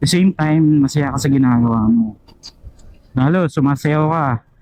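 A man's voice at a moderate pace, fairly high in pitch, with ordinary pitch variation. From Philippines, province. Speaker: motovlogger interviewing his passenger. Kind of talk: casual chat. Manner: animated, laughing often.

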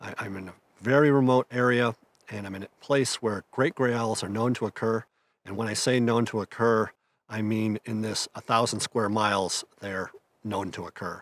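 Dry sound with no echo carries a man's voice. He talks at a moderate pace with fairly even intonation. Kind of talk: casual vlog chat. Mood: calm, reflective. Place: open country.

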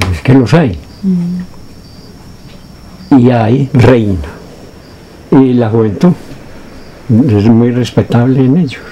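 A man talks at a very slow pace, with long, frequent pauses. Light background noise can be heard. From Antioquia, Colombia. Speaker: peasant community leader. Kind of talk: interview answer. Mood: relaxed, reminiscing. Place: home room.

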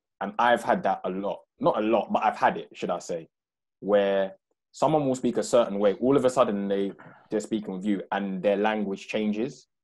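A man speaks in an unremarkable speaking voice that is fairly low, with ordinary pitch variation. His pace is moderate and the background is quiet. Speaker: podcast co-host. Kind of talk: casual chat. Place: home room. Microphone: earbuds.

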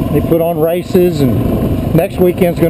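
A fairly slow delivery over loud background noise. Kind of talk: casual vlog chat. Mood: relaxed, admiring. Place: motorbike. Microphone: helmet.

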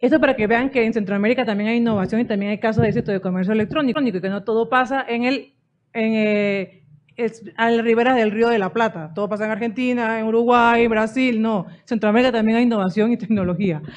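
Her speech rushes along at a very fast pace. A woman keeps her intonation fairly even. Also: fairly high pitch for a woman. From Central America. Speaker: digital rights NGO representative; conference speaker. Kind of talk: conference talk. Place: hall. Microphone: podium.

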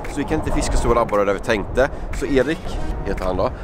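A man in a dry sound with no echo, with clear music in the background. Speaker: fishing vlogger. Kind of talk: casual vlog chat. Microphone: phone near.

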